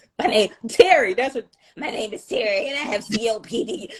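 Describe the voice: In a put-on character voice, fairly high and fairly quick, the speaker uses lively intonation and big swings in loudness.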